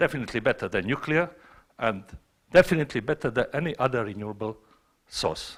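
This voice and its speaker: The speaker talks fairly quickly with a Montenegrin accent and lively intonation. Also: man. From Montenegro. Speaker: scientist asking a question from the audience. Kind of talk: audience question at a panel. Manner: loud.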